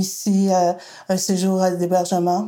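A woman's dark, mellow tone at a medium pitch. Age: 60s. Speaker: daughter of a femicide victim, women's group worker. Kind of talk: testimony.

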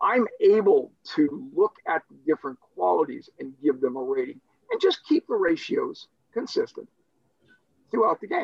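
Moving at a moderate pace, a man's voice swings widely in loudness. The sound is dry and close, with no echo. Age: 60s. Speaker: wargame designer and hobbyist. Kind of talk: casual chat.

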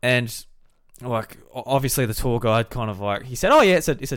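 A man with an Australian accent talks at a fairly quick pace and medium pitch, with ordinary pitch variation. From South Australia, Millicent. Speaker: podcast host. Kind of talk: casual chat.

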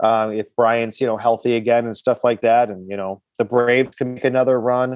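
A man with an American accent talks at a fairly quick pace in a medium pitch, his intonation monotone and flat, with a dry, close sound and no echo. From Milwaukee, Wisconsin. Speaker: comedian and sports fan guest. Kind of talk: casual interview.

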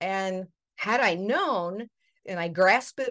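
A woman talks with an ordinary speaking voice. Her pitch is medium, with ordinary pitch variation. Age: 60s. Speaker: podcast host. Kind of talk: interview.

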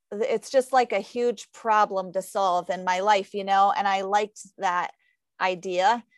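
On a very clean recording with a silent background and a dry, close sound with no echo, a woman with an American accent uses a plain, everyday voice at medium pitch, a fairly slow pace and fairly even intonation. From Ohio, rural. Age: 40s. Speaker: running coach and athlete. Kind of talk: casual interview.

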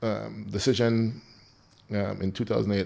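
With a Belizean accent, a man talks at a fairly slow pace in a fairly low pitch. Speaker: firefighter and nonprofit founder. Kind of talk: casual interview.

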